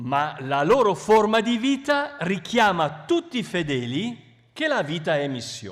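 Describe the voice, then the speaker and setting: Speaking at a very slow pace, a man with a high pitch makes very wide pitch swings. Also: hardly any pauses. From Italy, Milan. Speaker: bishop, missionary. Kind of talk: talk with interpreter. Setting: public event with audience. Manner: short phrases paused for interpreter.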